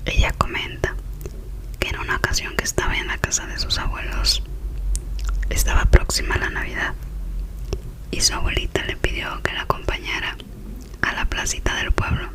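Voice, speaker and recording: Whispering at a moderate pace, a woman leaves long, frequent pauses against noticeable background noise. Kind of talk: ASMR whispered story, relaxation / sleep storytelling. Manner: whispered, soft, relaxing.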